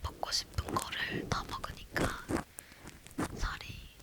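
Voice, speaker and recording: A woman whispers at a very slow pace, with long, frequent pauses. Noticeable background noise is present. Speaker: ASMR creator. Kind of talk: talking ASMR, casual chatty talk to viewers. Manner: soft, whispered.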